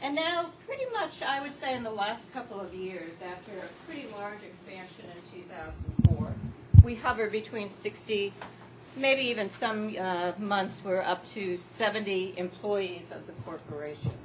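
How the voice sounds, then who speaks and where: Her loudness swings widely while her intonation stays lively, at medium pitch and a moderate pace. The woman is heard with audible room echo and noticeable background noise. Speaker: worker cooperative founder. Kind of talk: conference presentation. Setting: small conference room.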